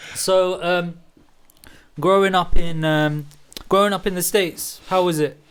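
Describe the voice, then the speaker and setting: Speaking at a high pitch in a British accent, a man is fairly slow and monotone, with flat intonation and long, frequent pauses. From England, Bedfordshire near London. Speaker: podcast co-host. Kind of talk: casual chat.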